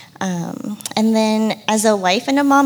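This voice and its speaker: A woman's lively intonation comes through noticeable background noise. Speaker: stay-at-home mom. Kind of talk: panel Q&A.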